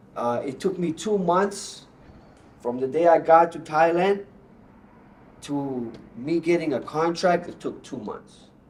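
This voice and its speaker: Noticeable background noise sits behind a man with a high pitch and ordinary pitch variation. He takes long, frequent pauses. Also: fairly slow pace, big swings in loudness. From Bosnia, raised in Canada. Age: 30s. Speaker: Muay Thai fighter. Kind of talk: casual interview. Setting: gym studio. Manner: animated.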